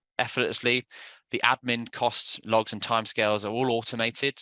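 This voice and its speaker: Medium-pitched man with a British accent and a bright, sharp tone, in a dry, close sound with no echo over a quiet background. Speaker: software sales presenter. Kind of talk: webinar presentation. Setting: online webinar. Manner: halting with fillers.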